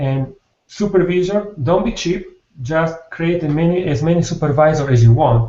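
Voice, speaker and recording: A man speaks in a high pitch with ordinary pitch variation. He leaves long, frequent pauses. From Italy. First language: Italian. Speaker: software developer. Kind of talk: technical presentation. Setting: video call. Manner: fast; halting.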